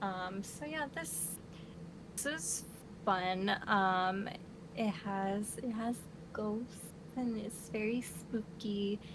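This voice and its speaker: Amid noticeable background noise, a woman at a medium pitch talks at a very slow pace with long, frequent pauses and ordinary pitch variation. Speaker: book reviewer. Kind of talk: casual chat. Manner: halting.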